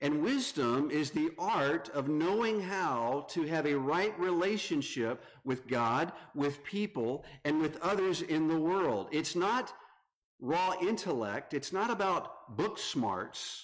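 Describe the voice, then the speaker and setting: In a Southern US accent, the speaker talks at a very slow pace with lively intonation and very even loudness, with audible room echo. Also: man, fairly high pitch for a man. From North Carolina. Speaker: visiting preacher. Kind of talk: sermon.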